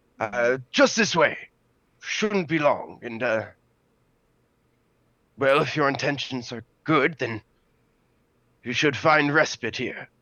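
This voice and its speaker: Someone puts on a raspy character voice, speaking at a fairly slow pace with long, frequent pauses. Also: man, fairly high pitch for a man. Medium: actual play. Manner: hesitant, halting, polite.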